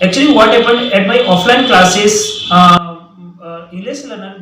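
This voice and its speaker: A man with an Indian accent speaks in a raised, projected voice at a high pitch, with ordinary pitch variation. His pace is moderate, and background noise is noticeable. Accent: Indian English (Hindi). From central India. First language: Hindi. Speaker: English teacher. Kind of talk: tutorial. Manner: halting, many fillers.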